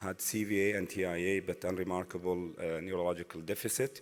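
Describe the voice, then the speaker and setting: A man speaks at a moderate pace. His very deep, low voice has fairly even intonation. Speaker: interventional cardiologist, assistant professor. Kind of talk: conference case presentation.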